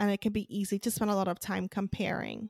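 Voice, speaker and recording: A woman's medium-pitched, ordinary speaking voice at a fairly quick pace, in a very clean, dry, close recording with a silent background and no echo. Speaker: podcast host. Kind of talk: interview.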